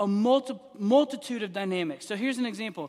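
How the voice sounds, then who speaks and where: Lively intonation carries a man's speech at a fairly quick pace. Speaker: pastor. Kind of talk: church Q and A discussion. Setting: church.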